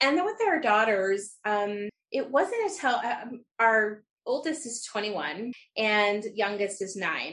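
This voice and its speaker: A woman's fairly high-pitched, unremarkable speaking voice with lively intonation. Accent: American. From Utah. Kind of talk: interview.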